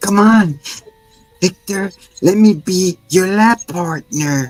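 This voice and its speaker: A put-on character voice at a middle pitch and a very slow pace, with faint music in the background. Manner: pleading and eager.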